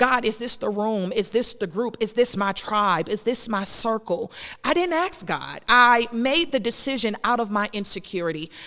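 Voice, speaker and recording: A loud, fairly high woman's voice, bright and sharp, animated in tone, with lively intonation and hardly any pauses. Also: moderate pace. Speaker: podcast host and minister. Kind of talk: preaching-style faith podcast monologue. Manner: loud, preacher-like delivery.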